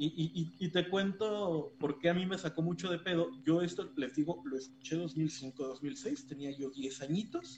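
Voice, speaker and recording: A man speaks at a fairly slow pace with a fairly high pitch. Noticeable background noise runs under his voice. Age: 20s. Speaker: podcast co-host. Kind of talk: casual chat.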